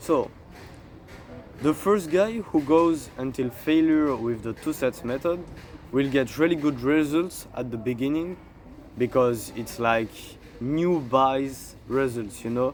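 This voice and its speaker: A man with a French accent and a fairly high pitch, at a very slow pace with ordinary pitch variation and long, frequent pauses. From France. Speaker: fitness content creator. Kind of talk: casual tutorial monologue. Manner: halting, with fillers.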